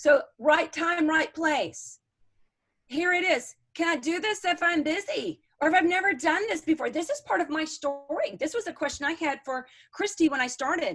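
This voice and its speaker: An extremely high-pitched woman's voice sounds animated, with lively intonation. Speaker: network marketing team leader. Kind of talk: team training call. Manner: fast.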